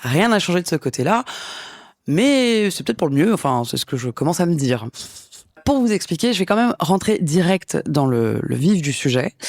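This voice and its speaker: With very wide pitch swings, a woman keeps to a moderate pace. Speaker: podcast host. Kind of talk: solo podcast monologue. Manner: casual, hesitant with fillers.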